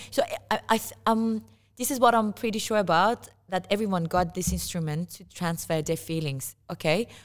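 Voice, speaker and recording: A woman with an Iranian accent, her loudness swinging widely, in a very clean recording with a silent background. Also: medium pitch for a woman, ordinary pitch variation, moderate pace. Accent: Iranian (Persian). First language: Persian. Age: 30s. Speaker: musician. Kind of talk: casual interview. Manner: halting, frequent repetitions.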